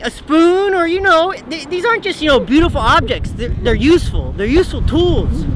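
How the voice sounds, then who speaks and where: Dry sound with no echo, a moderate pace and noticeable background noise. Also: man. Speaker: comedian doing a mock weather report. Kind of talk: comedic mock weather report, stand-up style sketch. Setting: outdoors on a cold beach. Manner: laughs often, playful and excitable. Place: beach.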